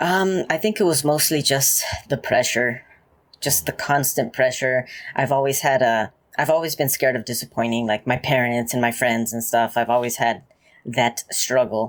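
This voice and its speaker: A man speaks at a medium pitch. He has a Spanish accent. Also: ordinary pitch variation, moderate pace. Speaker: ex-Jehovah's Witness YouTuber. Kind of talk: interview.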